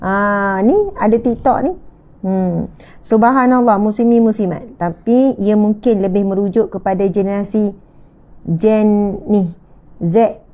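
A woman speaks very slowly with long, frequent pauses. Her tone is dark and mellow, and her intonation fairly even. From Malaysia. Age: 30s. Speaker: religious teacher. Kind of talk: religious lecture. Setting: live stream with audience present. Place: home room. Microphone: lapel.

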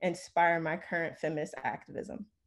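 In an American accent, a plain, everyday voice talks at a moderate pace. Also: woman. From New Jersey, US. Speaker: researcher, environmental educator, panelist. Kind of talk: academic talk. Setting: video call. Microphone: video call.

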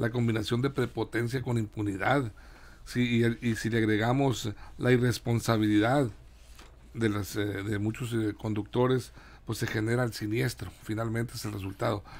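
Moderately paced speech from a man, pitched in the middle range. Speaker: panelist. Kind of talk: panel discussion. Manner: sing-song intonation. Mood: serious, concerned. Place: studio. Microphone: studio mic.

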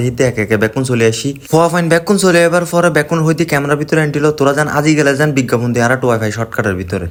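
In a Chittagong accent, a man speaks with a fairly high pitch. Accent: Chittagonian Bengali. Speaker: travel vlogger. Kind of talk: vlog narration. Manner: casual, chatty.

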